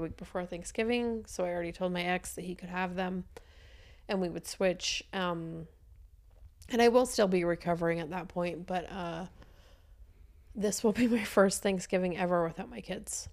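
The recording is very clean, with a silent background. A woman with an unremarkable speaking voice talks at a moderate pace and medium pitch, her intonation fairly even. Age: 30s. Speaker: podcast co-host, divorced mom. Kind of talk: casual chat.

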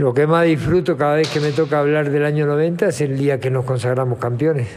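Against noticeable background noise, a man with a fairly high voice talks with ordinary pitch variation. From Uruguay, Montevideo. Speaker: retired footballer. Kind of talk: interview.

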